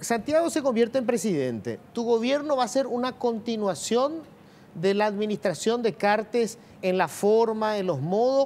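A man's high-pitched voice at a fairly slow pace, with ordinary pitch variation. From Paraguay. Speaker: TV news host. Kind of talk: TV interview. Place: studio. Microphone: lapel.

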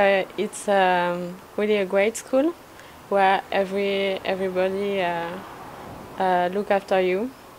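A woman speaks with monotone, flat intonation. Light background noise can be heard. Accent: French. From France. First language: French. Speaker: language student. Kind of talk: testimony. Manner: halting. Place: street.

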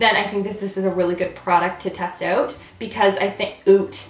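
A woman uses a put-on character voice with a Canadian accent, raspy and at medium pitch. She keeps a moderate pace, with slight echo in the recording. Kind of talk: casual tutorial chat. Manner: accidental, slipped into accent.

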